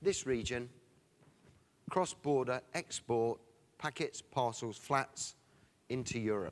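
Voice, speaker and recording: Speaking very slowly with long, frequent pauses, a man with an English accent keeps a medium pitch and ordinary pitch variation. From England. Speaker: sales director, conference speaker. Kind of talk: conference presentation. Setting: stage with audience. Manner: animated.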